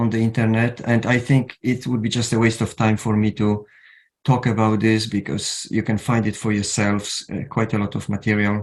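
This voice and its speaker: A man speaks at a medium pitch and a moderate pace with a Polish accent. The recording is very clean, with a silent background. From Poland. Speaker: counsellor. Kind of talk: lecture. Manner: halting.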